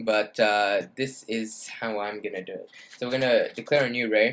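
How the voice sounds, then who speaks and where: Here a man talks at a medium pitch. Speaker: game development tutorial creator. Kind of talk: screen-recorded coding tutorial. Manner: hesitant, many fillers.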